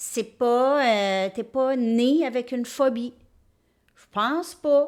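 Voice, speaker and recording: A woman speaks very slowly in a high voice with ordinary pitch variation and a strong Quebec accent, her loudness swinging widely. The recording is very clean, with a silent background. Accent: strong Québécois French. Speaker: tarot reader. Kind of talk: tarot reading monologue.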